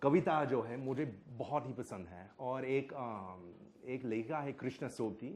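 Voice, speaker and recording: With an English accent, a man at medium pitch speaks with lively intonation, big swings in loudness and hardly any pauses. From United States. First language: English (speaking Hindi). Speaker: Hindi scholar. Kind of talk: public panel conversation.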